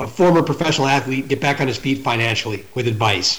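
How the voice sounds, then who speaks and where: Lively in intonation, a man speaks with a fairly high pitch and a somewhat breathy voice. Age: 40s. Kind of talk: casual chat.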